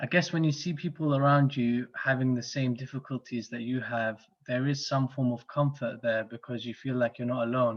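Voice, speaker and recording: A man speaks in a London accent at a medium pitch and a moderate pace. His intonation stays fairly even, with hardly any pauses. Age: 30s. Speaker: club guest introducing himself. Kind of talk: casual self-introduction. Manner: hesitant, many fillers.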